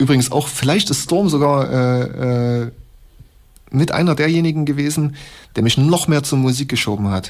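A man's fairly high voice at a moderate pace, with ordinary pitch variation, very even loudness, and long, frequent pauses. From Leipzig, East Germany. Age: 30s. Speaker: hip-hop producer. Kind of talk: interview for radio feature.

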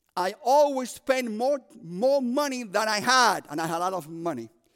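Animated in tone, the speaker talks with a Cuban accent and very wide pitch swings. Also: man. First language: Spanish. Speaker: prison ministry preacher. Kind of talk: sermon. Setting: chapel service with audience.

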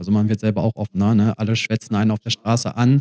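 A man's medium-pitched, dark, mellow voice at a very fast pace, dry and close with no echo. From Germany, Mülheim. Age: 30s. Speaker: traveler. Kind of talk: casual chat. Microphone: poor audio from a recording setting error.

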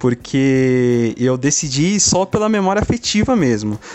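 Lively in intonation, a man speaks at a medium pitch. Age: 20s. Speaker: games journalist. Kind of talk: casual interview. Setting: remote recording from home. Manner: halting, many fillers and repetitions.

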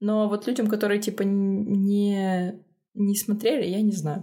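On a very clean recording with a silent background, a woman speaks with a fairly high pitch. Her tone is dark and mellow, and somewhat breathy. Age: 30s. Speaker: podcast co-host, screenwriter and narrative designer. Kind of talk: casual chat.

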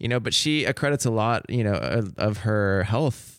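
A man with an American accent at a fairly slow pace, in a very clean recording with a silent background. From Seattle. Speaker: podcast host and photographer. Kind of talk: interview. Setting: studio with headphones. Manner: radio voice.

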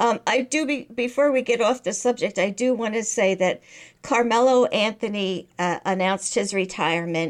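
A woman speaks at a moderate pace in a fairly high voice, her loudness very even and her pitch varying in an ordinary way. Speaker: podcast co-host, mother. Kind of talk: casual chat. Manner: sarcastic-sounding tone.

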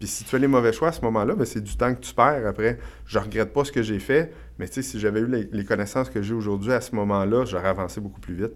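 A man with a Quebec accent talks at a very fast pace in a fairly low pitch, with lively intonation, vocal fry, and big swings in loudness. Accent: Québécois French. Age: 40s. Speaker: real estate investor and entrepreneur. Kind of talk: podcast interview. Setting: studio.

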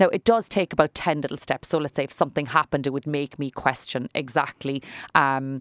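Speaking at a very fast pace, a woman with a Cork accent has a very deep, low pitch. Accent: Irish (Cork). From Ireland. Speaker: salon owner and businesswoman. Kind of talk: interview. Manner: talkative.

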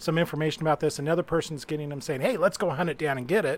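With an American accent, a man talks in a normal speaking voice, fairly high in pitch, with ordinary pitch variation. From Utah. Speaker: game writer and reviewer. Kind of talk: casual chat.

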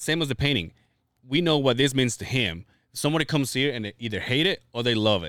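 A man talks fairly quickly at a medium pitch with ordinary pitch variation. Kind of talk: casual chat. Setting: studio.

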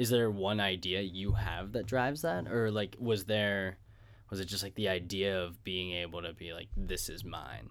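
A man speaks at a moderate pace in a fairly low voice with vocal fry. His pitch varies in an ordinary way. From Pittsburgh. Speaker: podcast host. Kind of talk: casual interview. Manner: animated.

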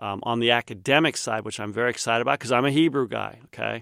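A man with an American accent talks at a very fast pace, medium in pitch and fairly even in intonation. The sound is dry and close with no echo, a very clean recording against a silent background. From Kansas, US Midwest. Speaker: seminary professor. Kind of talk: interview. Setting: studio.

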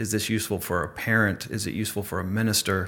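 Speaking at a fairly quick pace with an American accent, a man with a fairly low pitch has a plain, everyday voice. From US. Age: 40s. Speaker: author. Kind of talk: interview.

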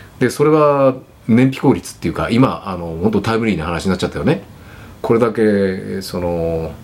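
Using a plain, everyday voice, a man speaks at a moderate pace and fairly low pitch with lively intonation. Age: 60s. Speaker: furniture company president. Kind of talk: casual chat.

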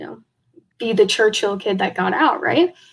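In an American accent, a woman with an ordinary speaking voice talks at a fairly high pitch with lively intonation. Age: young. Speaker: high school golfer. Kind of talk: casual interview chat.

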